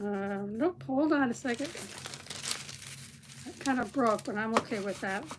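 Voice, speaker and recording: Speaking at a moderate pace with long, frequent pauses, a woman uses a fairly high pitch, lively intonation, and big swings in loudness over noticeable background noise. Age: 70s. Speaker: craft livestreamer. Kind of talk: live craft tutorial with viewer chat. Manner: casual, halting with fillers.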